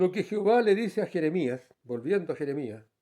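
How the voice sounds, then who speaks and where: The voice has a dark, mellow tone, lively intonation, and a moderate pace. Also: man. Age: 70s. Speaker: lay preacher and farmer. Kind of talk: sermon.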